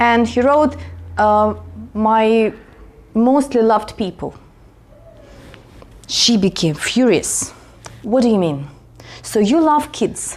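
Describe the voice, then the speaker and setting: A fairly slow pace and lively intonation, in a Russian accent. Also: woman. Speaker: vlogger. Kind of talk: casual storytelling vlog.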